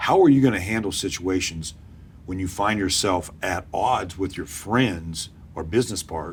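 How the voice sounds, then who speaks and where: At a moderate pace, the somewhat breathy voice shows big swings in loudness and ordinary pitch variation. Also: man. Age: 60s. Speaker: interviewer. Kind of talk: candidate interview.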